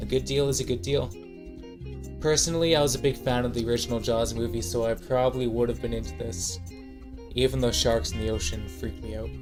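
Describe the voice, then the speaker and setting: A man talks at a very fast clip. Music plays in the background. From Canada. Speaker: student. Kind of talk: class presentation narration. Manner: casual, wry.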